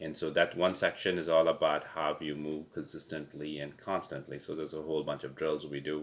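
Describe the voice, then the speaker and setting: A man with a non-native accent, very deep and low in pitch, flat monotone delivery at a fairly quick pace. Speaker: pickleball coach. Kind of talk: casual webinar chat. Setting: webinar recording. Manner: halting, many fillers.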